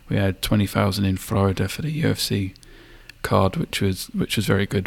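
Fairly quick, lively speech from a man with a fairly low pitch and vocal fry. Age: 30s. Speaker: podcast co-host. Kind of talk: casual chat.

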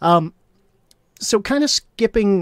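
A man's lively intonation at a fairly slow pace, in a dry, close sound with no echo and a very clean recording with a silent background. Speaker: livestream host. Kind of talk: interview, casual chat. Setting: live stream.

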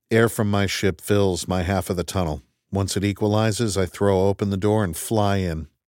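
The speaker reads aloud in a natural voice, intonation fairly even, with the background quiet.

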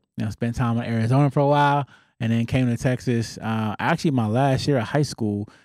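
Moving at a fairly quick pace, a man at a medium pitch has an unremarkable speaking voice and fairly even intonation, on a very clean recording with a silent background. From Southern California. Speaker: founder and CEO of a tutoring company. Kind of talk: casual interview.

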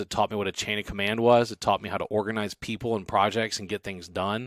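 A man with an American accent and an ordinary speaking voice, fairly low in pitch, fairly quick, with fairly even intonation, in a very clean recording with a silent background and a dry, close sound with no echo. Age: 40s. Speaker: entrepreneur and former city councilman. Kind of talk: casual interview chat.

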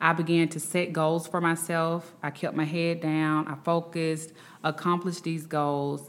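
A woman talks in a Southern US accent. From Alabama, Birmingham. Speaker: attorney. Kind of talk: interview. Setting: remote from Washington, D C.

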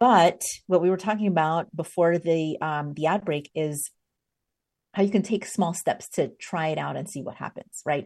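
A woman with an ordinary speaking voice and a fairly low pitch speaks at a moderate pace with ordinary pitch variation against a quiet background. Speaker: podcast host and leadership coach. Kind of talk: podcast interview. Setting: video call recording. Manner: warm, upbeat.

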